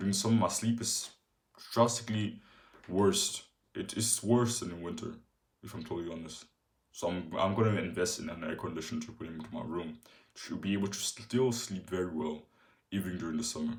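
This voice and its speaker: The speech runs at a fairly quick pace with long, frequent pauses, big swings in loudness, ordinary pitch variation and a somewhat breathy quality. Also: man, fairly low pitch for a man. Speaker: fitness vlogger. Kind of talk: casual vlog tutorial. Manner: halting.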